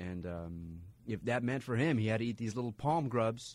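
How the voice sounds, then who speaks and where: A man speaks at a moderate pace in an ordinary speaking voice. His pitch is fairly low, with ordinary variation. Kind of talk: radio DJ patter: bright show intro and back-announcing, repeating the text number. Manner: upbeat, clear, relaxed and conversational.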